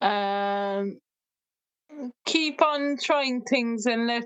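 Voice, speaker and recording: Speaking with a West Cork accent at a very slow pace, a woman uses a fairly high pitch with ordinary pitch variation. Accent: West Cork Irish. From Ireland, West Cork. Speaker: music therapist. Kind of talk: casual interview chat.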